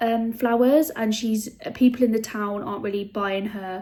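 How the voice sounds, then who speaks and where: Here a woman speaks with a British accent at a fairly high pitch. Her pace is fairly quick, and her pitch varies in an ordinary way. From UK. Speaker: booktuber. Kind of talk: casual vlog talk. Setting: home, handheld camera. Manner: chatty, filler-heavy.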